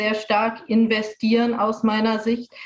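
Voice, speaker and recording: The woman's fairly high voice comes with noticeable background noise. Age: 30s. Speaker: politician. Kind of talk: panel discussion.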